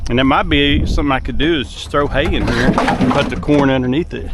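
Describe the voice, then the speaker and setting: With a Southern US accent, a man speaks amid noticeable background noise and audible room echo. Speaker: hog trapper. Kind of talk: outdoor vlog narration. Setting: outdoors. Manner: casual; quiet.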